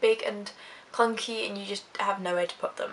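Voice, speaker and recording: Woman with an Essex accent at a fairly quick pace, amid noticeable background noise. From Essex, UK. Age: young. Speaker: YouTuber, psychology student. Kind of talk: casual talk to camera.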